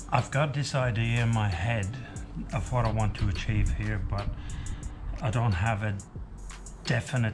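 Faint music sits in the background as a man speaks at a fairly low pitch. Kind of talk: casual vlog chat. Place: workshop. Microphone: camera far.

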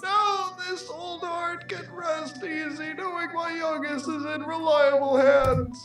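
A woman's put-on character voice at a fairly slow pace, hardly any pauses, and faint music in the background. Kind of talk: put-on old man voice, comic. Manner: warm, sentimental.

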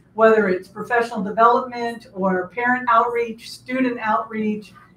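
The voice is somewhat breathy and moves at a moderate pace. Audible room echo and light background noise are present. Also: woman. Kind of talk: formal address to audience. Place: meeting room.

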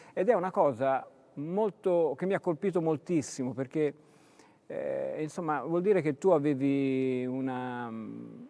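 This man's voice has a dark, mellow tone and fairly high pitch. He speaks at a fairly slow pace with lively intonation. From Tuscany, Pistoia; Tuscany. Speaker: sports TV host. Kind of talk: interview. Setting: sports hall. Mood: relaxed, conversational. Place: hall. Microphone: lapel.

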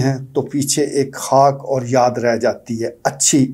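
Against a quiet background, a man with a fairly high voice speaks at a very slow pace in a dark, mellow tone. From Pakistan. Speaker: political commentator. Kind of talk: opinion commentary monologue. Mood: earnest, concerned. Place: studio.

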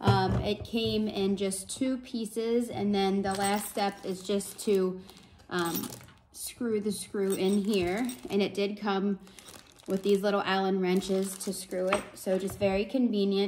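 Over noticeable background noise, a woman speaks at a fairly slow pace with monotone, flat intonation. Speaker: parent reviewing a product. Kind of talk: product review. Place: home room. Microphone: phone near.

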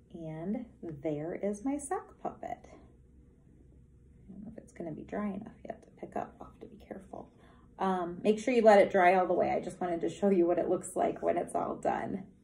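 A woman's somewhat breathy voice at a moderate pace, with ordinary pitch variation, big swings in loudness and light background noise. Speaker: teacher. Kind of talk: tutorial. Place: meeting room. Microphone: phone near.

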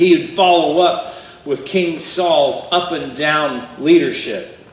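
The speech moves at a very slow pace. There is audible room echo. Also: man. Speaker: pastor. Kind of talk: sermon. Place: church.

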